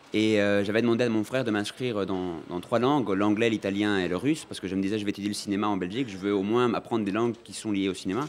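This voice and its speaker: A man talks at a very fast pace with hardly any pauses. His fairly low voice keeps a fairly even intonation. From Uruguay. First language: Spanish (speaking French). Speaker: film director. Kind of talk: interview. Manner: hesitant.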